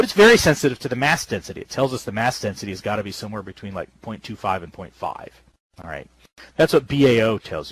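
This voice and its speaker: A man's voice with vocal fry, in a dry, close sound with no echo. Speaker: astronomy professor. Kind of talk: public lecture. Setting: virtual world lecture.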